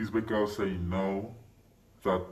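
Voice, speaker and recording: Amid audible room echo, a somewhat breathy man talks at a moderate pace with a fairly low pitch and fairly even intonation. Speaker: channel owner. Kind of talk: monologue to camera.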